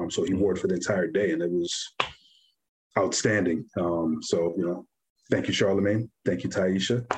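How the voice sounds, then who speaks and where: A man speaks with a New York accent at a moderate pace. His pitch is very deep and low. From New York (Brooklyn), Guyanese family. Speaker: clothing brand founder. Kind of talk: casual interview.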